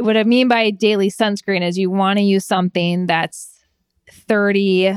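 A woman with a US Midwestern accent talks at a moderate pace and medium pitch with fairly even intonation, on a very clean recording with a silent background. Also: dry, close sound with no echo. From Michigan, US Midwest. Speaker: melanoma survivor and sun safety advocate. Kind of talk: interview.

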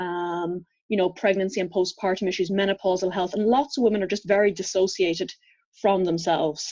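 Her tone is dark and mellow, at a medium pitch for a woman. She keeps a fairly quick pace and fairly even intonation. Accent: Irish. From Ireland. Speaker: physiotherapist and herbalist. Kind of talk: interview conversation.

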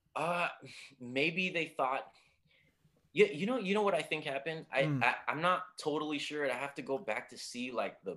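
A man's fairly high-pitched voice with a bright, sharp tone, lively intonation and a moderate pace. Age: 30s. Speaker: movie podcaster. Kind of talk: casual chat.

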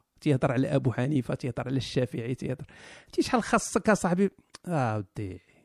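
With a Moroccan accent and very wide pitch swings, the voice comes through dry and close with no echo, on a very clean recording with a silent background. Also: man. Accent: Moroccan Arabic (Darija). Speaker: live stream host. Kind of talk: casual banter, live stream chat. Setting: live stream with audience.

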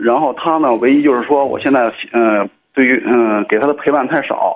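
Man at a medium pitch and moderate pace, with ordinary pitch variation. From Cangzhou, Hebei, China. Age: 30s. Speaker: caller. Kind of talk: radio call-in advice chat. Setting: phone call. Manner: halting.

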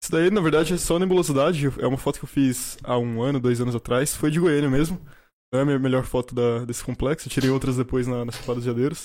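A man speaks very fast. The recording is very clean, and the background is silent. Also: medium pitch for a man, ordinary pitch variation. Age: 20s. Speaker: astronomy student and astrophotographer. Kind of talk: casual chat.

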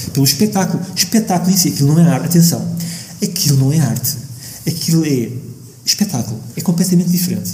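A man's high-pitched voice, very fast yet broken by long, frequent pauses, with ordinary pitch variation over noticeable background noise. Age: 50s. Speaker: architect and musician. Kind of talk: radio interview. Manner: halting.

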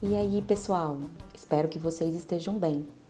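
A woman's plain, everyday voice, fairly low in pitch, at a moderate pace with ordinary pitch variation. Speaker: podcast host, chemistry professor. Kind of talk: casual chat.

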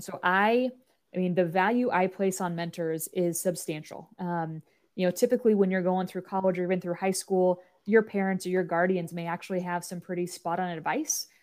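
Speaking at a fairly quick pace, a woman has a medium pitch and fairly even intonation. It is a normal speaking voice on a very clean recording with a silent background. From US Midwest, Nebraska. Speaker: college athletics administrator. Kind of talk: interview conversation.

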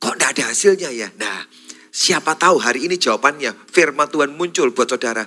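A man at a moderate pace, his tone bright and sharp. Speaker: pastor. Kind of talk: sermon.

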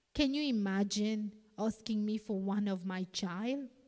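A somewhat breathy, dark, mellow voice with a non-native accent, ordinary pitch variation, and a fairly slow pace. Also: woman. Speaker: preacher. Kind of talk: sermon. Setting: church.

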